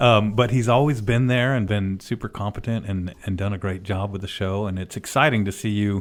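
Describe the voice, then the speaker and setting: A man with an unremarkable speaking voice and a fairly low pitch speaks at a fairly quick pace with hardly any pauses. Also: fairly even intonation. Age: 50s. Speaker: orthopedic surgeon hosting a radio show. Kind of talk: casual radio chat.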